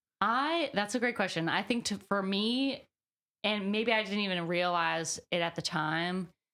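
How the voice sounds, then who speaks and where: In a very clean recording with a silent background, a woman speaks with an American accent at a fairly slow pace. Her medium-pitched voice has lively intonation and is a plain, everyday voice. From US South, Birmingham, Alabama. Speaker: singer-songwriter. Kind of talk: interview. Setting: on camera interview. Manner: casual, many fillers.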